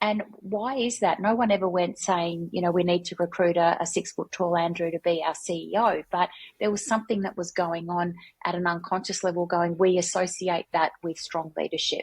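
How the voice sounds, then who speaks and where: Her voice is somewhat breathy and fairly low for a woman. The intonation stays fairly even. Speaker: workplace culture consultant. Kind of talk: podcast interview.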